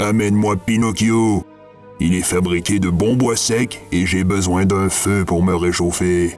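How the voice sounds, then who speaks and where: A put-on character voice growls and rumbles at a fairly slow pace. Clear music plays in the background. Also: man, very deep, low pitch for a man. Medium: read story. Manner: gruff, commanding.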